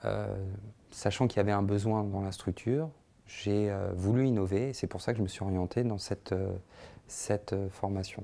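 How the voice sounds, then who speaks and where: A man's dark, mellow voice with fairly even intonation and long, frequent pauses. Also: fairly low pitch for a man, moderate pace. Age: 30s. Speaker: social care manager, training graduate; social educator. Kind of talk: testimonial interview. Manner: hesitant, many fillers. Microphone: lapel.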